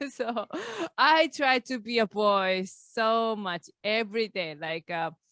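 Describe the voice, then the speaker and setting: A bright, sharp tone with lively intonation comes at a very slow pace, dry and close with no echo, on a very clean recording with a silent background. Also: woman, fairly high pitch for a woman. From Japan. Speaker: comedian. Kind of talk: casual chat. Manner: halting, with fillers.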